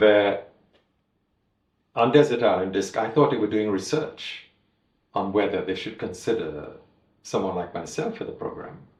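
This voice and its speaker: With a Trinidadian accent, a somewhat breathy voice moves at a fairly quick pace with ordinary pitch variation and audible room echo. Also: man. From Trinidad and Tobago. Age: 70s. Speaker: master tailor. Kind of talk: interview storytelling. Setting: in-person interview.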